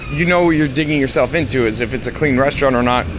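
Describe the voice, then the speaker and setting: Noticeable background noise around a man's speech. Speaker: vlogger. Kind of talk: vlog narration. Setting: outdoors walking on street. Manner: stutter; casual, filler-heavy.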